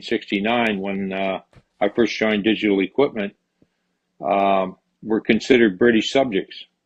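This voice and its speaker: In a Canadian accent, a man talks at a moderate pace with a fairly low pitch and monotone, flat intonation. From Canada. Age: 80s+. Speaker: retired computer engineer. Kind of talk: oral history interview. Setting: online call. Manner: halting, many fillers.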